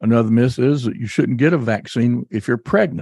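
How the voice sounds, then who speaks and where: At a moderate pace, a man talks in an ordinary speaking voice with medium pitch and lively intonation. The sound is dry and close, with no echo. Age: 60s. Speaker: doctor and podcast host. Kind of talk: educational health talk, podcast. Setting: studio, office studio. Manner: conversational, friendly.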